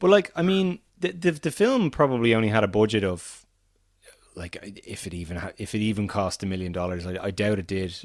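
A man with an Irish accent talks at a fairly quick pace, his fairly low pitch moving in very wide swings. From Ireland. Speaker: podcast co-host, film fan. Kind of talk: casual chat. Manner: animated, often repeats words.

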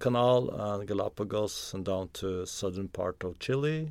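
On a very clean recording with a silent background, a man with a Norwegian accent speaks at a fairly low pitch and a fairly slow pace. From Norway, Oslo. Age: 50s. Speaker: explorer and author. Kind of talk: interview conversation. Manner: halting with repetitions.

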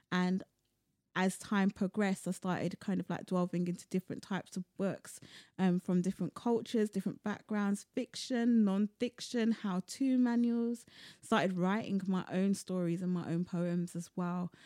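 The woman's voice has a medium pitch and a dark, mellow tone, with fairly even intonation. She talks at a moderate pace, and the sound is dry and close with no echo. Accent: London. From London, of Sierra Leonean descent. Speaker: poet and cultural producer. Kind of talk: casual interview chat.

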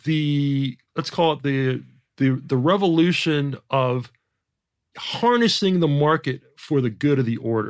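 An ordinary speaking voice from a man with a General American accent, fairly high in pitch with ordinary pitch variation, in a very clean recording with a silent background. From Jamaica. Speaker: economist. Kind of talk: interview.

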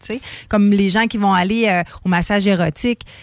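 A woman with an ordinary speaking voice, medium pitch and ordinary pitch variation at a moderate pace, the sound dry and close with no echo. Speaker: radio co-host. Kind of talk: casual chat.

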